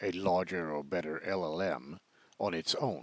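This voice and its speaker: With a Swedish accent, a man speaks at a fairly slow pace with ordinary pitch variation. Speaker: software developer demoing own product. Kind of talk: product demo tutorial. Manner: hesitant, many fillers.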